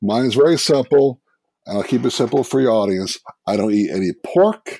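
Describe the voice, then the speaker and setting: A man's dark, mellow voice with a New York accent, in a dry, close sound with no echo. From New York, Brooklyn. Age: 50s. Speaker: food blogger. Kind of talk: casual chat. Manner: animated.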